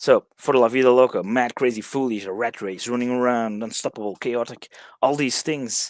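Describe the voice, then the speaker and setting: A man with a Dutch accent at a medium pitch, moderate pace and fairly even intonation, in a dry, close recording with no echo. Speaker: songwriting workshop leader. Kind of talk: online workshop lecture. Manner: halting, many fillers and restarts.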